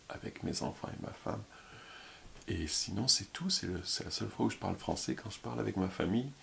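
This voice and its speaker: Mumbling with vocal fry, a man speaks at a very deep, low pitch that swings very widely. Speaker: YouTuber, former French teacher. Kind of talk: casual vlog monologue. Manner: fast.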